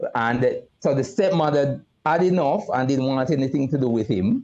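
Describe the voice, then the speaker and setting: Lively intonation runs through a man's fairly high-pitched voice. His tone is dark and mellow. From Jamaica, Kingston inner city. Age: 60s. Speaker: retired mental health nurse and youth advocate. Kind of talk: live talk show interview. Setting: live video stream.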